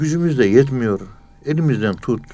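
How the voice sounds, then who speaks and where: A man's voice carries audible room echo. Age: 60s. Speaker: professor of Sufism. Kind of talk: religious lecture.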